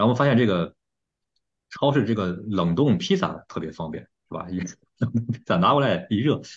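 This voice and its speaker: With lively intonation, a man talks at a medium pitch in a somewhat breathy voice. The background is quiet. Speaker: podcast host. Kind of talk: casual chat.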